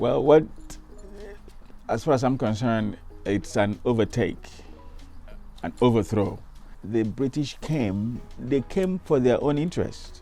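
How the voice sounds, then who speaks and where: With music in the background, a man with a Nigerian accent speaks at a fairly slow pace. His medium-pitched voice has lively intonation. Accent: Nigerian Igbo English. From Isuikwuato, Abia State, Nigeria. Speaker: reverend. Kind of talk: interview answer.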